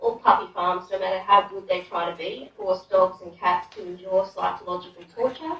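Her voice sits at a fairly low pitch with a fairly bright tone, as the woman keeps a moderate pace and fairly even intonation.

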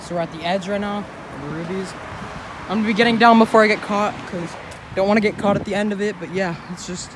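A high-pitched man speaking very fast with ordinary pitch variation, dry sound with no echo and noticeable background noise. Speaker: vlogger. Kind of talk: casual vlog chat. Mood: a bit wary of getting caught. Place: street. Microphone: phone near.

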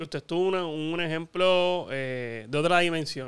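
In a quiet background, a man speaks with a fairly high pitch and ordinary pitch variation. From Puerto Rico. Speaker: sports show host. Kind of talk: interview; scripted promo reading. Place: home room. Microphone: studio mic.

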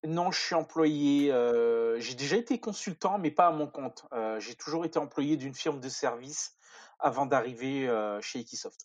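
With a plain, everyday voice, a man speaks fairly slowly at a fairly high pitch with ordinary pitch variation. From France, near Paris. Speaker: software developer. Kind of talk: technical interview.

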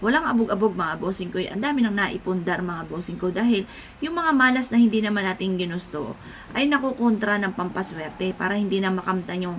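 A woman at a fairly quick pace with lively intonation, over noticeable background noise. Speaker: vlogger. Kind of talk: casual talk to camera.

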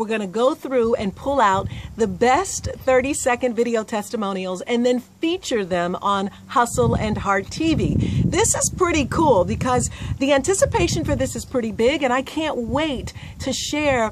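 A woman's high-pitched voice with lively intonation at a moderate pace, over noticeable background noise. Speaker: host promoting a contest. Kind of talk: casual vlog chat. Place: garden. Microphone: phone near.

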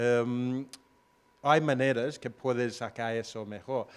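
Here a man speaks with an English accent. His pace is very slow. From Australia. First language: English (speaking Spanish). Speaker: location-independent entrepreneur; panelist. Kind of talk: panel discussion. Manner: hesitant, many fillers. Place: stage. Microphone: handheld.

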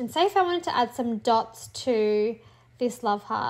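A woman with an Australian accent, high-pitched, at a fairly slow pace with ordinary pitch variation, on a very clean recording with a silent background. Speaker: teacher and clipart creator. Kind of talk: tutorial. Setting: home recording, screen tutorial.

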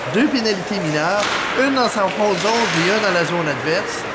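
A man speaks in a Quebec accent. Loud background noise runs beneath him. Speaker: sports commentator. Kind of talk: post-game hockey match recap commentary. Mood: calm, mildly critical. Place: stadium. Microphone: phone near.

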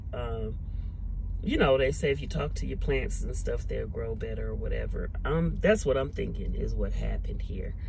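At a moderate pace, the voice sounds dry with no echo, though noticeable background noise is present. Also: woman. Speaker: truck driver. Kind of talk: casual talk to camera. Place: car. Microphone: phone near.

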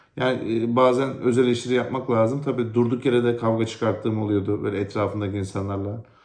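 Audible room echo surrounds a man speaking at a medium pitch and a moderate pace with fairly even intonation. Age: 30s. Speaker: vlogger, thyroid cancer patient. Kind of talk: personal testimony vlog.

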